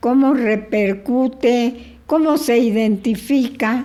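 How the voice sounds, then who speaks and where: A dark, mellow tone at a very slow pace. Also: woman. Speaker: podcast host. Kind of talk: interview question.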